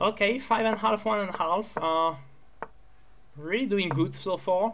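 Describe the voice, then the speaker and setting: A non-native accent is heard. Speech goes at a moderate pace. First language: not English. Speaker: chess player streaming his games. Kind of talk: live commentary while playing bullet chess. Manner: halting, with many repeated words and fillers.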